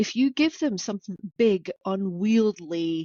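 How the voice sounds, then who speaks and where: A woman speaks with a Scottish accent. Her intonation is lively. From Orkney, Scotland. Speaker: business coach and entrepreneur. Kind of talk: podcast interview. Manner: conversational, some repetitions.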